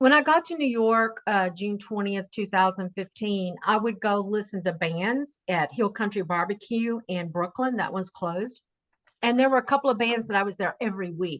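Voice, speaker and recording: An ordinary speaking voice moves at a moderate pace with lively intonation. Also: woman, medium pitch for a woman. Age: 60s. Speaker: singer and cigar designer. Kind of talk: interview testimony.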